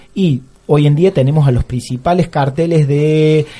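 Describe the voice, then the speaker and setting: A man's fairly high voice at a fairly slow pace. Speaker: teacher and radio columnist. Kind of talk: radio column, casual commentary. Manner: halting, with frequent fillers.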